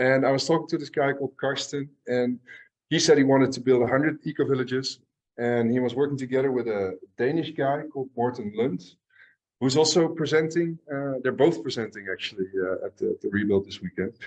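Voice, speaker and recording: Fairly quick pace from a man at a medium pitch with ordinary pitch variation. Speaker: eco-village systems engineer, presenter. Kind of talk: conference presentation. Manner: fast; hesitant, many fillers.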